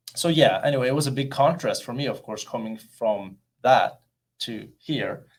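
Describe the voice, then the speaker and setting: In a very clean recording with a silent background, a man with a Norwegian accent talks at a moderate pace, his fairly high pitch showing ordinary variation while his loudness swings widely. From Norway, rural Oppdal. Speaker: actor and model. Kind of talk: interview.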